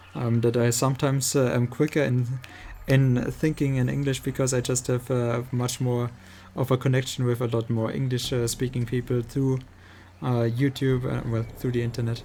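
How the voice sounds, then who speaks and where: A man speaks with a dark, mellow tone at a medium pitch and a moderate pace. His delivery is monotone and flat, with a somewhat breathy quality. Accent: strong German. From Germany. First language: German. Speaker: video game streamer. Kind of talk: casual chat. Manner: halting, many fillers.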